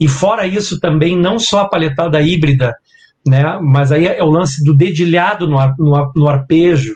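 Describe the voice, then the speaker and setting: Here is a man with an unremarkable speaking voice and a fairly high pitch. He talks at a moderate pace with ordinary pitch variation. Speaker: guitarist. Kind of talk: casual interview chat. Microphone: laptop mic about two hand-spans away.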